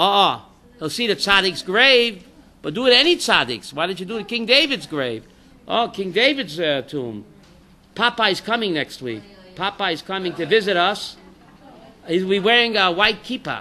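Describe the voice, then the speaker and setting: Speaking at a moderate pace, a man uses a high, raised, projected voice with a bright, sharp tone and lively intonation. Long pauses come often. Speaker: rabbi teaching a class. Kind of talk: Torah class with audience questions. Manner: loud; animated.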